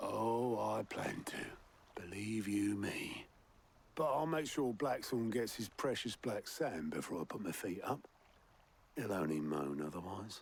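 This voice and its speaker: Raspy and fairly low, a man uses a put-on character voice. He talks at a fairly slow pace. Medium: video game. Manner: folksy, chatty.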